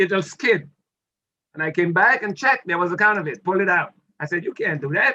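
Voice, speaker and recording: Bright and sharp in tone, a man with an American accent and a high pitch speaks at a fairly quick pace with lively intonation. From Dominica. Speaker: retired military officer. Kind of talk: interview, life story. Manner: animated storytelling.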